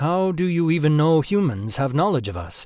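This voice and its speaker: A man puts on a character voice, his intonation lively and bouncing. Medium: read story. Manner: blunt, suspicious.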